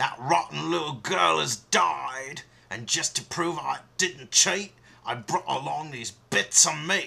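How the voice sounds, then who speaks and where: A man puts on a character voice at a medium pitch. He speaks at a fairly slow pace with very wide pitch swings. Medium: read story.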